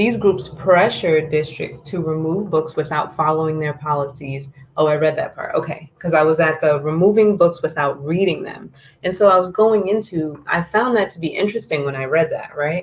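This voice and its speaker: A soft-spoken woman's somewhat breathy, very deep voice at a moderate pace. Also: ordinary pitch variation. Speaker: political commentary livestreamer. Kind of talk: live stream commentary reading articles. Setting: live stream.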